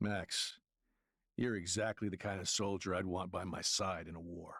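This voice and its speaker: In a put-on character voice, a man speaks with a very deep, low pitch and monotone, flat intonation on a very clean recording with a silent background. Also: moderate pace. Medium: video game. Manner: folksy, hearty.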